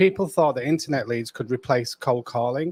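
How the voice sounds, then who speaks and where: With a British accent, a man talks at a moderate pace with ordinary pitch variation, and the sound is dry and close with no echo. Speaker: real estate coach. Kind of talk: live stream co-host chat. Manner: quiet. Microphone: too quiet.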